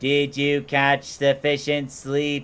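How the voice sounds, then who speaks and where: A man puts on a robotic character voice, fairly high in pitch and delivered in a flat monotone. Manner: steady, even delivery.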